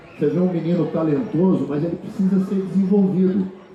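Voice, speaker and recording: A man speaks with audible room echo. Noticeable background noise can be heard. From Brazil, Rio de Janeiro state near Minas Gerais border. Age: 60s. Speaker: choro musician and festival organizer. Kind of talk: panel talk. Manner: halting, many repetitions.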